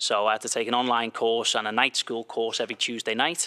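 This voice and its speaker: With a Liverpool accent, a man talks at a very fast pace and medium pitch, his tone bright and sharp, his intonation flat and monotone. The recording is very clean, with a silent background and a dry, close sound with no echo. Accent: Liverpool (Scouse) English. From England, Liverpool. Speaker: soccer coach. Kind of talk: interview.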